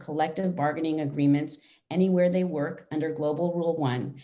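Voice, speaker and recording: A woman speaks at a fairly quick pace in a dark, mellow tone with fairly even intonation, with audible room echo. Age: 60s. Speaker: union president and actor. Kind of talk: prepared speech. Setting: virtual event. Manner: formal.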